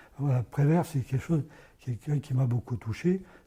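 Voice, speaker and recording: A man speaks at a medium pitch in a somewhat breathy voice with a dark, mellow tone and ordinary pitch variation. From France, Ardèche. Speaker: poet. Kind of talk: interview. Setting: parish premises. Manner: hesitant.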